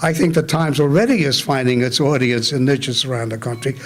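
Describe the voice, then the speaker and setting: A man with lively intonation speaks at a moderate pace while noticeable background noise carries on. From New York City (Bronx), immigrant from Germany. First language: German. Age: 80s+. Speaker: retired newspaper editor. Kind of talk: Q&A after a talk.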